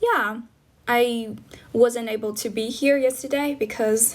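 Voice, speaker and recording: A woman speaks in a fairly high pitch with monotone, flat intonation. Noticeable background noise is present. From China. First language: Chinese. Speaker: livestreamer teaching English, former English teacher. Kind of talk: casual livestream chat, mixing English and Chinese. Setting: live stream. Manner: hesitant, many fillers.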